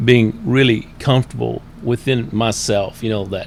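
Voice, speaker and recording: With noticeable background noise behind him, a man speaks in an American accent with ordinary pitch variation. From Florida. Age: 60s. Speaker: recovery guide, former pastor. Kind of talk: personal testimony in interview.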